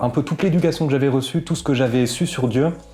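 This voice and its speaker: Music plays in the background as a man speaks at a fairly quick pace. His intonation is fairly even. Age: 20s. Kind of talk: interview testimony. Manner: hesitant, many fillers.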